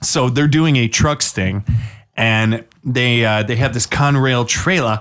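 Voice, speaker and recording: A man speaks at a fairly slow pace with a medium pitch and an American accent. He has a normal speaking voice, with ordinary pitch variation and very even loudness. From Washington State. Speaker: podcast co-host. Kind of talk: casual chat.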